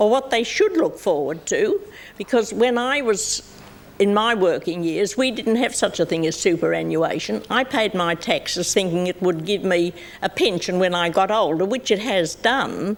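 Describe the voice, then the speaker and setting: A woman with an Australian accent talks at a moderate pace, her medium pitch carried by lively intonation. Noticeable background noise sits behind her. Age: 80s+. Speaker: pensioner and TV show regular. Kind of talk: talk show interview. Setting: TV studio with audience.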